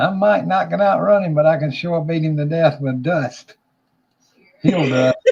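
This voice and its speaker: A man with a Southern US accent, fairly high in pitch, at a moderate pace with ordinary pitch variation. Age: 60s. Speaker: livestream host. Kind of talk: casual chat. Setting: livestream.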